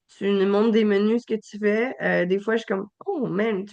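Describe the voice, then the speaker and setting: Speaking at a moderate pace with a Quebec accent, a woman keeps a medium pitch and fairly even intonation against a quiet background. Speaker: podcast host. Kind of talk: podcast interview. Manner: halting.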